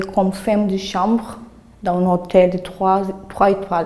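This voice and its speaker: A woman talks at a fairly slow pace with fairly even intonation, noticeable noise present in the background. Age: 30s. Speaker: job training participant. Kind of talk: self-presentation. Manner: halting.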